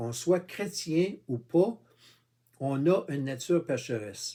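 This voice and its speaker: A man in a Quebec accent, fairly high in pitch, with a dark, mellow tone, lively intonation and a very slow pace. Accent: Québécois. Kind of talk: informal religious monologue. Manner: halting, many fillers; casual, addresses viewer with tu.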